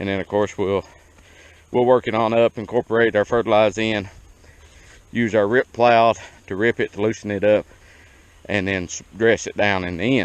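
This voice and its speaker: A man with a fairly low pitch and an American accent, fairly even intonation, a moderate pace with long, frequent pauses, and a dry, close sound with no echo. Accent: hillbilly. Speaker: small farmer. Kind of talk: tutorial. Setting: outdoors. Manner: casual, folksy.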